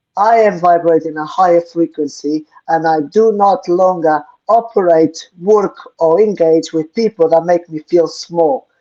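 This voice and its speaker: A woman speaks with a non-native accent in a fairly low pitch and a dark, mellow tone. Her pace is fairly slow, with ordinary pitch variation. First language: not English. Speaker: co-host of spiritual Q&A show. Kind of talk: live Q&A stream, spiritual talk. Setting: live online stream.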